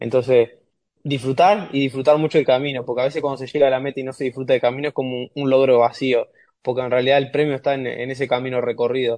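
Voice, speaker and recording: In a dry, close sound with no echo, a man speaks very fast at a medium pitch with monotone, flat intonation. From Uruguay. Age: 20s. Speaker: rower. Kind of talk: interview.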